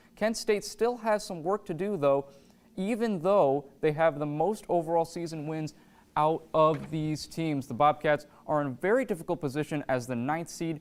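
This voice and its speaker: An unremarkable speaking voice from a man with an American accent, fairly high in pitch, lively in intonation, at a moderate pace on a very clean recording with a silent background. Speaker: student sports reporter. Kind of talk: news reading. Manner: formal.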